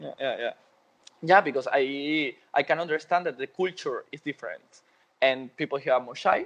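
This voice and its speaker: A man with a Spanish accent and fairly high pitch, ordinary pitch variation, big swings in loudness, and a dry, close sound with no echo. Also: moderate pace. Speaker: dancer and dance teacher. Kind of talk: interview. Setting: phone call.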